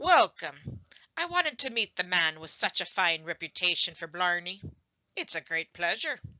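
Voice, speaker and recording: At a moderate pace and middle pitch, the speaker uses a put-on character voice. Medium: read story. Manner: sly, theatrical.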